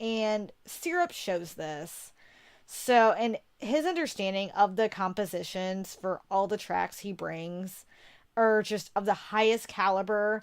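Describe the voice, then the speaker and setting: A woman with a medium pitch talks at a very slow pace with ordinary pitch variation. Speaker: podcast host. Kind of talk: podcast music segment presentation. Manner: halting on certain words.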